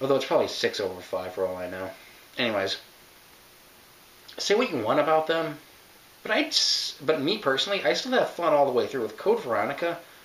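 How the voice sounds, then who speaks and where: A man with a fairly high pitch talks at a very fast pace with very wide pitch swings, amid noticeable background noise and audible room echo. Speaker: video game reviewer. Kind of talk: casual commentary. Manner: halting, self-interrupting.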